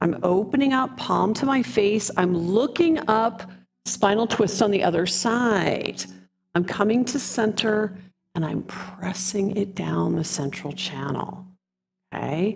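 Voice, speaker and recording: Here a woman talks in an ordinary speaking voice at medium pitch. Her fairly slow delivery has lively intonation. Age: 60s. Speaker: qigong and yoga instructor. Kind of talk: guided fitness class instruction. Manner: slow, calm.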